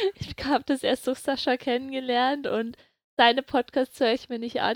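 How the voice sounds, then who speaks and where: A woman's high-pitched voice at a moderate pace, with a dry, close sound and no echo. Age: 20s. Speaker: medical student. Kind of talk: casual chat.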